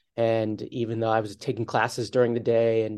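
At a fairly quick pace, a medium-pitched man with an American accent speaks in a dark, mellow tone. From US, Philadelphia area. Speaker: screenwriter and TV producer. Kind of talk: interview.

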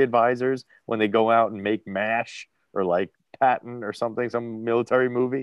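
A man with a New Jersey accent speaks at a moderate pace, the sound dry and close with no echo. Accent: New Jersey American. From New Jersey, US. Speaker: podcast host. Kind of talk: casual chat.

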